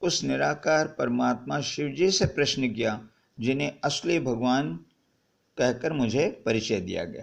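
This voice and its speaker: This man's voice sits at a medium pitch and carries vocal fry. His intonation is lively. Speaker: spiritual speaker. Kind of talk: personal testimony.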